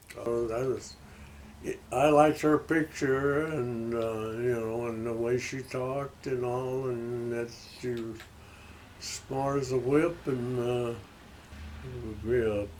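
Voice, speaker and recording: Speaking very slowly with long, frequent pauses, a man holds a medium pitch and fairly even intonation over audible room echo. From Arkansas (Stuttgart). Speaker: retired aircraft worker, interviewee. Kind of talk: casual interview chat. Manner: halting.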